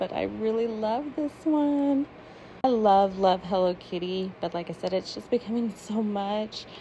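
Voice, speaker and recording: Light background noise behind a woman talking at a moderate pace. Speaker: shopper vlogger. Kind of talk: casual vlog chat. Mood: cheerful, excited. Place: shop. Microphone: phone near.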